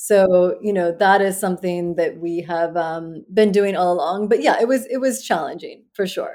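A woman in a Midwestern US accent, medium pitch, a dark, mellow tone, ordinary pitch variation, moderate pace with hardly any pauses, on a very clean recording with a silent background. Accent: General American, Midwestern. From US Midwest (Iowa, Western Pennsylvania, Ohio). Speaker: fashion brand founder, former finance professional. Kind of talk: interview.

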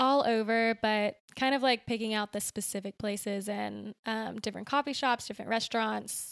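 A woman with a fairly high pitch speaks with fairly even intonation and hardly any pauses, in an unremarkable speaking voice. The recording is very clean, with a silent background. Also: moderate pace. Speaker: painter. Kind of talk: casual chat.

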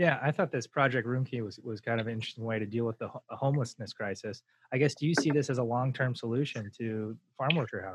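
A man speaks at a very fast pace and a medium pitch, with ordinary pitch variation. His voice is somewhat breathy, and the sound is dry and close with no echo. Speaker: podcast host. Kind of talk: interview. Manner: hesitant, many fillers.

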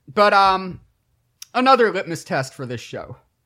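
A man with an American accent uses a raised, projected voice at high pitch and a bright, sharp tone. His pitch swings very widely at a moderate pace in a very clean recording with a silent background. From Michigan, US Midwest. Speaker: podcast co-host. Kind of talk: casual chat.

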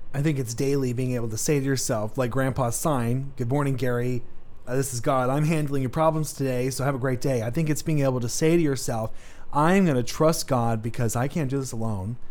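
Audible room echo follows a man speaking at a medium pitch and a fairly quick pace with fairly even intonation. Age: 20s. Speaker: faith podcast host. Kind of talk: casual faith chat.

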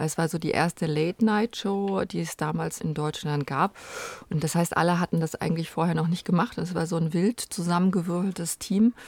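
A woman with a fairly low pitch and an unremarkable speaking voice talks at a moderate pace with fairly even intonation, the sound dry and close with no echo. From Germany, Rhineland near Cologne. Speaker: film producer. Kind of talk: interview.

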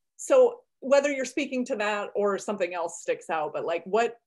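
Her pitch is fairly high and her intonation lively. The woman keeps a moderate pace. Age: 40s. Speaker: podcast host and past life regression practitioner. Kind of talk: casual interview. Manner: animated.

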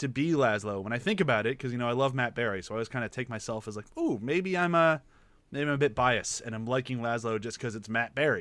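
Lively intonation marks this man's speech. He gets his words out at a very fast pace. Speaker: podcast host. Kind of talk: casual podcast chat. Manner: fast talker at times.

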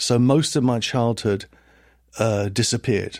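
On a very clean recording with a silent background, a man with a southern English accent speaks at a medium pitch and a moderate pace. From southern England, Hertfordshire (Liverpool family). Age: 60s. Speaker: philosopher and professor. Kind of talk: interview conversation.

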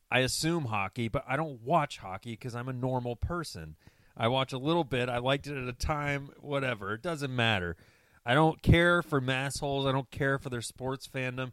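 A man with an American accent and an ordinary speaking voice talks at a moderate pace in a medium pitch. His pitch variation is ordinary, and the sound is dry and close with no echo. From US South, Atlanta, Georgia. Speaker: sports podcast co-host. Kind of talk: casual chat.

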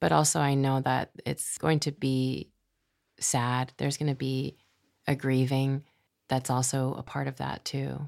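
Speaking in an American accent at a fairly slow pace, a woman with a very deep, low pitch keeps a fairly even intonation on a very clean recording with a silent background. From Massachusetts, US. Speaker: poet and podcast host. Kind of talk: casual interview.

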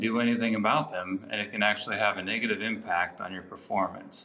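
Speaking fairly quickly, a man uses an ordinary speaking voice at a medium pitch, with ordinary pitch variation. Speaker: naval officer and triathlon coach. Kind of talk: coaching tips interview.

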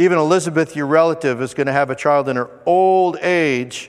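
A man with an ordinary speaking voice, fairly high pitch, fairly even intonation and a moderate pace. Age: 50s. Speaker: pastor. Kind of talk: sermon. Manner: conversational.

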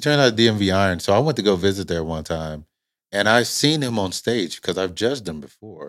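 This is an ordinary speaking voice, a man at a fairly low pitch with lively intonation and a fairly quick pace. The recording is very clean, with a silent background. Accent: American. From Indiana. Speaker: military veteran, gym owner and trainer. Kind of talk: casual chat.

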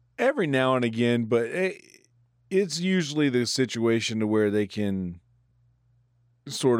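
Speaking at a moderate pace with long, frequent pauses, a man with a medium pitch and a South Carolina accent keeps his loudness very even on a very clean recording with a silent background. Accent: Southern US (South Carolina). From Bennettsville, South Carolina. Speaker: comedian. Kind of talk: casual chat. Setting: studio.

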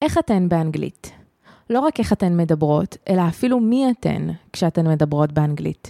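Recorded dry and close with no echo, a woman with a fairly low pitch and a dark, mellow tone talks at a moderate pace with lively intonation. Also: very even loudness. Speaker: podcast co-host. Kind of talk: scripted intro then casual chat.

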